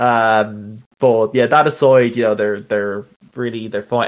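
A man talks at a fairly slow pace in a normal speaking voice. His pitch is medium and his intonation fairly even. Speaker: commentator. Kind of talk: casual chat.

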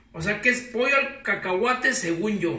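In a raised, projected voice, a man speaks with very wide pitch swings while audible room echo surrounds him. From Mexico, Guadalajara (Jalisco); Jalisco. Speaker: home cook YouTuber. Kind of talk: cooking tutorial. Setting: home kitchen. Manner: casual, halting with fillers. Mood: playful, joking. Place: kitchen. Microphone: camera far.

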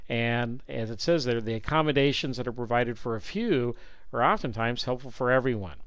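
A man talks at a fairly quick pace. His voice sits at a medium pitch with ordinary pitch variation. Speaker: professor. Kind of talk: lecture. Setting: video call.

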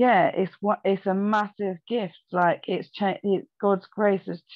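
With a quiet background and a dry sound with no echo, a woman speaks at a fairly slow pace. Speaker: remote guest. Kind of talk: faith discussion, personal testimony. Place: home room. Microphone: video call.

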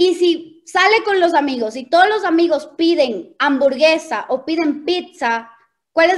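A woman speaks in a high pitch with an animated tone and lively intonation, over a quiet background. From Ecuador, Quito; Ecuador. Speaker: network marketing leader; presenter. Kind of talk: motivational training talk. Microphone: video call.

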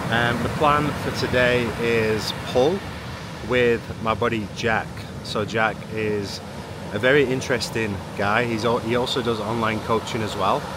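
Fairly slow speech with long, frequent pauses, dry with no echo, over loud background noise. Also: man. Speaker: fitness coach vlogger. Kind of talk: casual vlog chat. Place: beach. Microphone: phone near.

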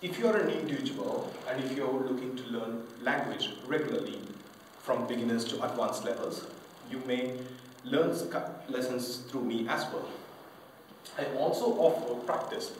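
Over light background noise and audible room echo, a man talks at a moderate pace with long, frequent pauses. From Indian-born French. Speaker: English teacher. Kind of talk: self-promotional pitch to camera. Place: home room. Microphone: camera far.

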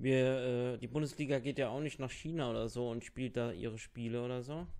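A man speaks at a fairly quick pace and medium pitch. His tone is slightly mellow, with fairly even intonation.

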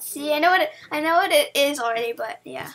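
With very wide pitch swings, a woman talks in an upbeat tone that is bright and sharp. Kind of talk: casual gameplay commentary.

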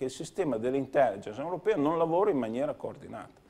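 A man speaks in a fairly high pitch. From Romagna, Italy (Cesenatico); Romagna, Italy. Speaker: member of European Parliament, former mayor and dentist; former mayor. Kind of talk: TV interview. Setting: TV studio. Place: studio. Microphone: lapel.

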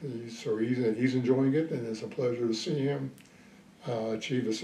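Audible room echo and light background noise accompany speech at a moderate pace. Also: man. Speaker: retired Army colonel, Vietnam veteran. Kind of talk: interview answer. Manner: hesitant, reflective. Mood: reflective, calm.

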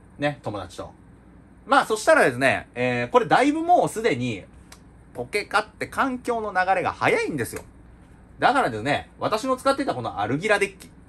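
In an animated tone, a man with high pitch makes very wide pitch swings and big swings in loudness at a moderate pace. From Japan. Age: 20s. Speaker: YouTuber and part-time teacher; YouTuber, part-time teacher. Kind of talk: casual vlog monologue. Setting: home recording, unedited. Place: home room. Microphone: phone near.

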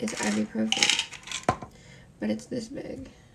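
A woman talks at a very slow pace while noticeable background noise plays behind her. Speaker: vlogger. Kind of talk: casual vlog chat. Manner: low, careful speech with a sore mouth. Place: home room. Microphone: phone near.

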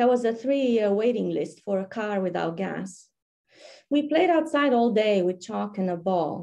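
Against a quiet background, a dark, mellow voice with a Romanian accent moves at a fairly slow pace. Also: woman. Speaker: poet. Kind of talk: poetry reading. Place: home room. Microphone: webcam.

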